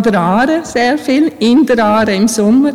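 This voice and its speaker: At a fairly high pitch, a woman speaks with lively intonation. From Bosnia, moved to Switzerland at 12-13. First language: Bosnian (speaking German). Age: 40s. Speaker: church administrator. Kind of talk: interview in church service. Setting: church with congregation.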